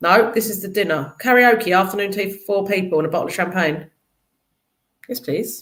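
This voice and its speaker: A woman speaks with a South London accent and lively intonation. She leaves long, frequent pauses. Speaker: charity executive. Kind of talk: casual chat.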